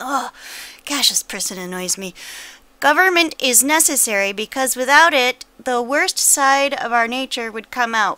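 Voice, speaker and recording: A woman's raised, projected voice, high and bright with a sharp tone, lively intonation and a moderate pace. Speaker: political video blogger. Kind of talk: angry rant. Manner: profane, seething exasperation building to explosive outbursts; curt, clipped sarcastic sign-off.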